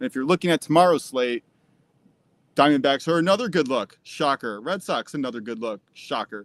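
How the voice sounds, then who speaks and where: Recorded very cleanly with a silent background and a dry, close sound with no echo, a man with an American accent talks at a fairly quick pace, fairly high in pitch and with lively intonation. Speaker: sports betting show co-host. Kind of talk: casual chat.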